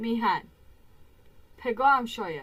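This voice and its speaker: Against noticeable background noise, a woman talks fairly slowly in a fairly high voice. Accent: Kermani. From Iran, Kerman. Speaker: reaction video creator. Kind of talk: casual reaction commentary. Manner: animated.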